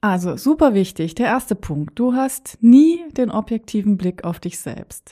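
A woman's fairly high, somewhat breathy voice with a dark, mellow tone, at a very slow pace, on a very clean recording with a silent background. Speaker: podcast host and coach. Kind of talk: motivational monologue.

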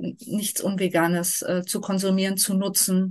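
A woman talks at a very slow pace. Her voice is somewhat breathy, with monotone, flat intonation. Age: 40s. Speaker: vegan nutrition advisor and long-term traveller. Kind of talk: casual interview.

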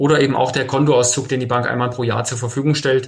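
A somewhat breathy man speaks at a fairly quick pace, fairly high in pitch, with monotone, flat intonation. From Hesse, Germany (Fulda). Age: 40s. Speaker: mortgage finance advisor. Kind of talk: podcast interview.

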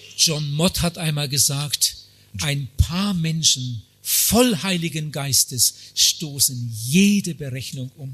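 Music plays in the background as a man speaks at a very slow pace, his fairly high pitch carrying lively intonation. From Germany. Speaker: evangelist. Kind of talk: sermon. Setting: conference hall with audience. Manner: short phrases paused for interpreter.

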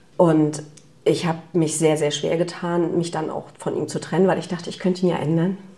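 Over noticeable background noise, a woman speaks at a moderate pace. Her voice is fairly low in pitch, with monotone, flat intonation. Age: 30s. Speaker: business leader. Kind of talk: casual interview. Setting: kitchen at host's home.

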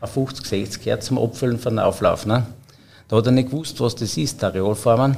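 A man with an unremarkable speaking voice, medium pitch, fairly even intonation and a moderate pace. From Austria, Upper Styria (Obdach). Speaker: head chef. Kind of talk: casual interview. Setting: hotel wine room.

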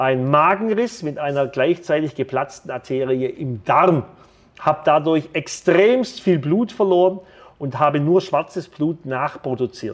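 Speaking fairly slowly, a man with a fairly high pitch uses an animated tone and lively intonation. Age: 50s. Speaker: financial advisor and entrepreneur. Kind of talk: podcast monologue.

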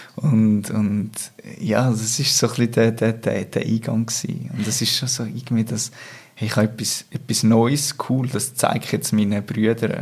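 A man speaks at a moderate pace and a medium pitch. His intonation stays fairly even, and his voice is somewhat breathy. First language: Swiss German (speaking German). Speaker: interview guest. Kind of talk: personal interview conversation. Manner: halting, many repetitions.

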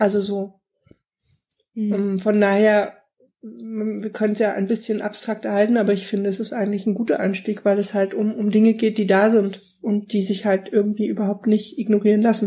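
A woman speaks in a monotone, flat intonation with a dark, mellow tone, a medium pitch, a moderate pace and a somewhat breathy quality. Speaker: podcast co-host. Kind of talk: casual chat.

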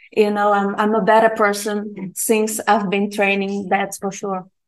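A woman speaks with a Portuguese accent. Her pitch is fairly high. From Brazil. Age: 30s. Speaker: jiu-jitsu student. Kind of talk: interview.

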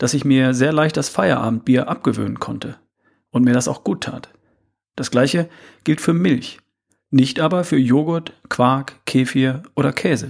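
A man talks at a moderate pace with a medium pitch and vocal fry. His pitch varies in an ordinary way. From Ostwestfalen, Germany. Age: 50s. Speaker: health and fitness podcaster. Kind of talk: solo podcast monologue.

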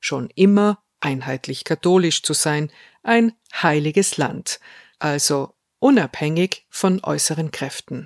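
A woman speaks very slowly in a very deep, low pitch with lively intonation. The recording is very clean, with a silent background and a dry, close sound with no echo. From South Tyrol, Italy. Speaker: podcast host. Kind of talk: scripted narration.

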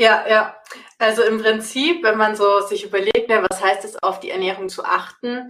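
A woman with a normal speaking voice and a fairly high pitch talks at a moderate pace. Her intonation is fairly even, but her loudness swings widely. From Bavaria, Augsburg. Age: 30s. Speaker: nutrition coach. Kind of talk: casual interview.

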